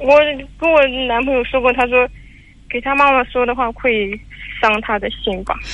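Pausing long and often, a woman speaks at a moderate pace in a high pitch with fairly even intonation. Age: 20s. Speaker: caller. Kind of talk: call-in advice conversation. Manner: halting, hesitant.

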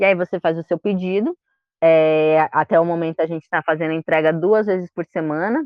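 A woman's ordinary speaking voice at a fairly quick pace, with ordinary pitch variation. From São Paulo, Brazil. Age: 20s. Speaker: librarian and environmental collective member. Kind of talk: casual interview chat.

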